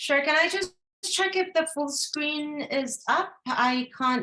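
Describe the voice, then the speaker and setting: The voice is raised and projected, with lively intonation, a bright, sharp tone and a very slow pace. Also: woman. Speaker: regional coordinator of a health advocacy network. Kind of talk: webinar presentation.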